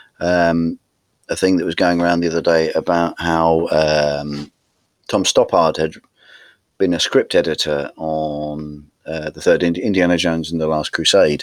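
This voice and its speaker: Very deep and low, a man's voice with a Norfolk accent moves at a fairly slow pace in a monotone, flat delivery. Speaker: podcast co-host. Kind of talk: casual banter about films.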